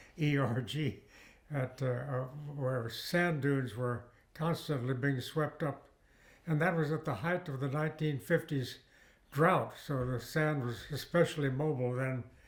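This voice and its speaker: A man speaks at a fairly slow pace with a fairly high pitch and ordinary pitch variation. His voice is somewhat breathy. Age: 90s. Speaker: retired botany professor. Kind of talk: interview. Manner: halting, with many fillers and repeated words.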